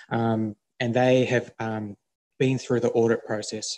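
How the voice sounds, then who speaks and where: The background stays quiet as a man talks at a moderate pace. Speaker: council presenter. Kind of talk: formal meeting presentation. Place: meeting room. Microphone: podium.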